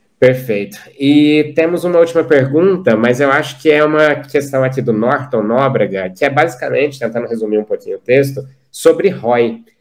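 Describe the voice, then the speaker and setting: A man with a fairly high voice keeps a moderate pace and ordinary pitch variation. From Minas Gerais, Brazil (Uberlândia). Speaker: company CEO, panel moderator. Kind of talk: panel discussion. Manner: casual, animated.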